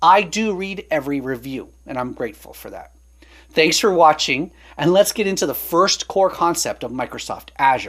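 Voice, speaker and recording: Delivered at a moderate pace, the speech sits on a very clean recording with a silent background. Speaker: online course instructor. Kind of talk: tutorial.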